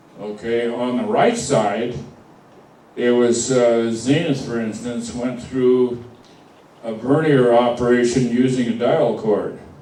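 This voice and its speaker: The pace is very slow and the intonation monotone and flat. Noticeable background noise is present. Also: man, medium pitch for a man. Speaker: car radio repairman. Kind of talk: lecture to a club audience.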